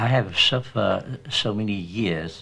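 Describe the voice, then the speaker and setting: Speaking at a very slow pace, a man is heard on a very clean recording with a silent background. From Vietnam. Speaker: poet and former political prisoner. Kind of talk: interview.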